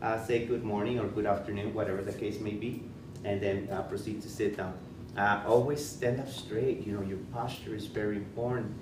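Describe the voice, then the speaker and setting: A man speaks at a fairly quick pace with a fairly low pitch and flat, monotone intonation. Audible room echo surrounds his voice. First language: Spanish. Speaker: school principal. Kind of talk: presentation. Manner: halting, many fillers and repetitions.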